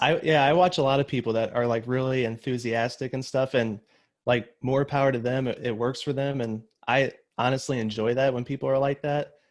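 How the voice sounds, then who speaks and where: A man at a medium pitch, talking at a fairly quick pace with fairly even intonation. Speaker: wedding videographer and photography YouTuber. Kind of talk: casual chat. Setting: video call. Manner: monotone. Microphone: new microphone.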